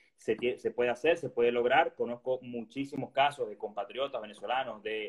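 The intonation stays fairly even, at a medium pitch for a man. He talks at a very fast pace. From Venezuela. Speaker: resident doctor in gastroenterology. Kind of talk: casual interview chat.

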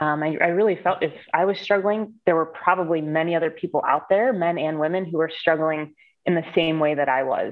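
With an American accent and an unremarkable speaking voice, a woman talks at a fairly quick pace with fairly low pitch and fairly even intonation. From Ohio, US Midwest (Cleveland). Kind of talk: interview.

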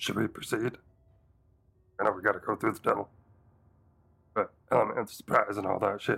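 A man puts on a raspy character voice at a fairly low pitch. He speaks at a fairly quick pace yet leaves long, frequent pauses. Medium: actual play. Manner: casual, rambling.

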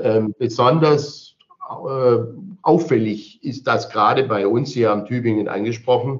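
Delivered at a fairly slow pace, a normal speaking voice holds very even loudness and ordinary pitch variation. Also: man, medium pitch for a man. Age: 60s. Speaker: mayor. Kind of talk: interview.

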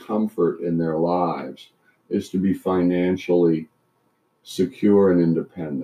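With an American accent, a man delivers his words at a very slow pace. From Canada and US Midwest. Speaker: retired trial lawyer. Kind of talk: casual chat.

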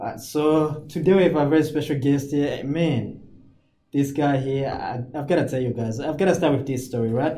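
A man's fairly high voice has a dark, mellow tone and is somewhat breathy. His intonation stays fairly even. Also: moderate pace. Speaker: podcast host. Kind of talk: casual interview.

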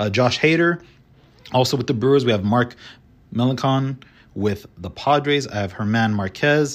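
The speaker is a man at medium pitch. He keeps a moderate pace. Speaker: solo baseball podcast host. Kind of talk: casual solo commentary. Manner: somewhat monotone, restrained.

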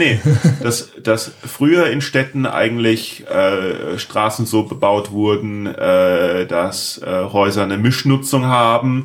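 A man with a medium pitch speaks at a very slow pace with ordinary pitch variation over noticeable background noise. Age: 40s. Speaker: podcast host. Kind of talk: casual interview chat. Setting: home office.

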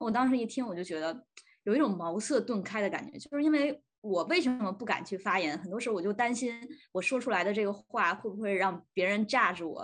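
A woman's unremarkable speaking voice, fairly high in pitch, at a fairly quick pace with lively intonation. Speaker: podcast host, student. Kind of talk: casual chat.

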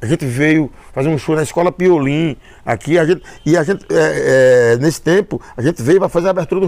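A high-pitched man at a very fast pace, with ordinary pitch variation. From Brazil, Paraíba (Northeast). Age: 60s. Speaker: musician. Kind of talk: casual interview. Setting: at his home. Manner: halting, many repetitions.

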